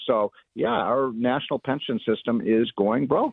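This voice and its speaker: With a normal speaking voice, a man speaks at a medium pitch with fairly even intonation in an American accent. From Chicago. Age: 60s. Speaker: economist. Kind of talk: talk radio interview.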